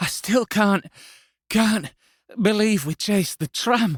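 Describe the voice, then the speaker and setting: A man puts on a whiny, raspy, wheezy character voice pitched high, speaking at a fairly slow pace. The sound is dry and close, with no echo. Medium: read story. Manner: whiny, stammering.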